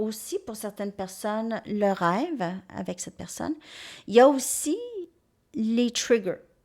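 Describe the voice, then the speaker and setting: A woman with a strong Quebec accent and a fairly high voice speaks at a very slow pace with long, frequent pauses. Her intonation is lively and her loudness swings widely, in a very clean recording with a silent background. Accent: strong Québécois French. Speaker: tarot reader. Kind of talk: tarot reading monologue.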